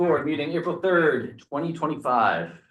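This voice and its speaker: With audible room echo, a man talks in a high pitch with ordinary pitch variation. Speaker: select board chair. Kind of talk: public meeting chairing. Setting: town meeting room. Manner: fast.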